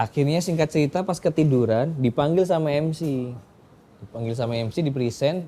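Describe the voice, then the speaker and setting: In a Surabaya accent, a man speaks with a dark, mellow tone and lively intonation. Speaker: stand-up comedian. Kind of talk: interview answer. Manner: casual, chatty.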